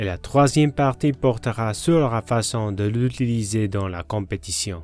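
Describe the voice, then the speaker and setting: A man with a non-native accent, medium pitch, ordinary pitch variation and a fairly slow pace. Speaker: golf psychology coach and author. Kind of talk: sales pitch.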